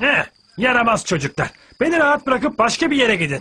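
This cartoonish character voice has a bright, sharp tone with a slightly husky edge. It moves at a fairly quick pace with big pitch swings.

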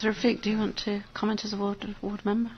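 Speaking fast with monotone, flat intonation, a woman uses a medium pitch and a slightly husky edge.

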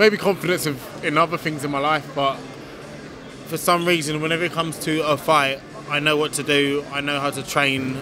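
Fairly even intonation comes from a man in a dry sound with no echo, with noticeable background noise. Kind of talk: interview answer. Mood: calm, confident. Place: hall. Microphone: handheld.

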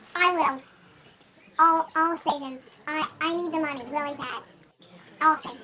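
The speaker's high-pitched voice moves at a moderate pace, broken by long, frequent pauses. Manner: eager, earnest.

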